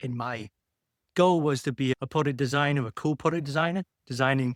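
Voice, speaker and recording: In a British accent, a man talks at a fairly quick pace and fairly high pitch with ordinary pitch variation, recorded very cleanly against a silent background in a dry, close sound with no echo. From UK. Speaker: medtech founder and engineer. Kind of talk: podcast interview.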